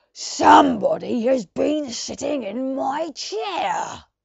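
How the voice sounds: This is a put-on character voice, high-pitched and gruff. It speaks at a very slow pace.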